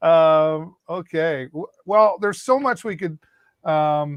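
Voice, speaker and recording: A plain, everyday voice from a man, fairly high in pitch with ordinary pitch variation, in a dry, close sound with no echo and a quiet background. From Eastern Ontario, Canada. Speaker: live stream show host. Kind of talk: live Q&A chat.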